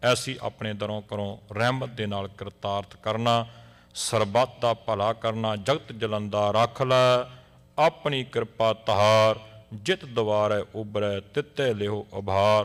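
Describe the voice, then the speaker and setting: The man has a plain, everyday voice, fairly low in pitch with fairly even intonation. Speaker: Sikh clergy member. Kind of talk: prayer (ardas).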